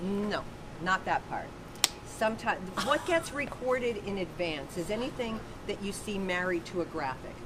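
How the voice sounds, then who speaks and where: Against noticeable background noise, a woman speaks at a medium pitch and moderate pace with lively intonation. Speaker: announcer. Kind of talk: interview answer. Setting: backstage.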